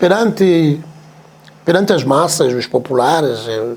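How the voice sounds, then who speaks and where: Against noticeable background noise, a man with a fairly high voice speaks at a fairly slow pace with lively intonation. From Mozambique, Chibuto. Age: 70s. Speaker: veteran musician. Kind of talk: interview. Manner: halting, repetitive.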